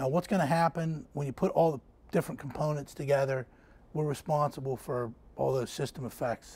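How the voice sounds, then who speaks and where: A man's fairly high-pitched, somewhat breathy voice at a fairly quick pace. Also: ordinary pitch variation. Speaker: navy engineering branch manager. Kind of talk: technical seminar presentation. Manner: fast; halting, many fillers.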